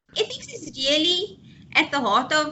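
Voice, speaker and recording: The voice belongs to a woman. She speaks with lively intonation. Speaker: psychologist. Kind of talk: lecture. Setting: webinar video call.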